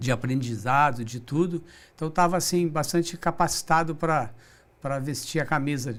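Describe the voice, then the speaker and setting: A man with a fairly high voice speaks at a moderate pace, his pitch varying in an ordinary way. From Brazil, São José dos Campos (São Paulo state). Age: 60s. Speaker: business director, recycling company. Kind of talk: interview. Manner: halting, with repetitions.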